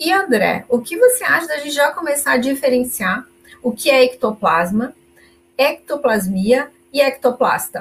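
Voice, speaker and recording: A high-pitched woman at a fairly slow pace, with lively intonation. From southern Brazil, Caxias do Sul (Rio Grande do Sul). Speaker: volunteer teacher of consciousness studies. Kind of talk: live-stream lecture and Q&A.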